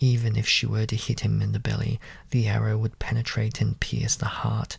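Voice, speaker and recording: A man speaks at a moderate pace. His voice is soft-spoken. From Australia. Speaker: ASMR reader. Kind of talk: reading aloud.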